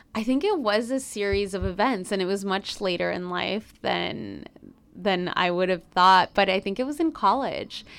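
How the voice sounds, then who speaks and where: On a very clean recording with a silent background, a woman with a Spanish accent speaks at a moderate pace, her medium pitch showing ordinary variation. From Chicago, US Midwest. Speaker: business journalist and producer. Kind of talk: interview, personal storytelling.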